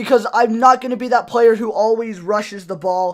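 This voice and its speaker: On a very clean recording with a silent background, a man with an extremely high voice speaks at a moderate pace in a fairly even intonation. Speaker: gaming YouTuber. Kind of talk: gameplay commentary. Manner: casual.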